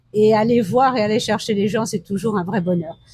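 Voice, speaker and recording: Her tone dark and mellow, a woman speaks with lively intonation in a dry, close sound with no echo. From France. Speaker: interviewee, traveler. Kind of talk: interview. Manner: hesitant, with many fillers.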